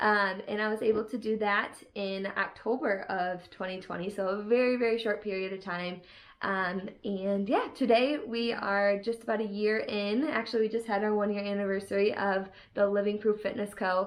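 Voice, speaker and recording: An unremarkable speaking voice from a woman, medium-pitched, with fairly even intonation and a moderate pace. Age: 20s. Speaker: online fitness coach and vlogger. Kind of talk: casual vlog chat. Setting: home office.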